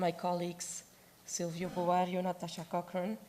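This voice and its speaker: Her voice has a dark, mellow tone and sits at a medium pitch. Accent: Dutch. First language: Dutch. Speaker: objects conservator. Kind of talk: conference presentation.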